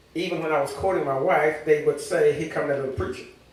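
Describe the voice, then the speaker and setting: Noticeable background noise and audible room echo around a man speaking in an American accent. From Louisiana. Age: 70s. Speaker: church member, teacher and preacher. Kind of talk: testimony. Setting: church service.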